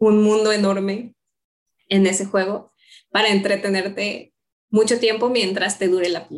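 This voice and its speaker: A woman talks in an ordinary speaking voice. She goes at a fairly slow pace with fairly even intonation. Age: 30s. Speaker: university staff member. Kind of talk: casual chat.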